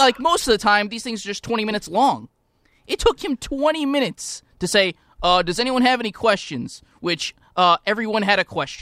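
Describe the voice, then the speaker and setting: Over a silent background in a very clean recording, a man raises and projects his high voice. His intonation is lively and his pace moderate. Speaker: radio show producer and co-host. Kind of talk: casual sports banter. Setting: radio studio.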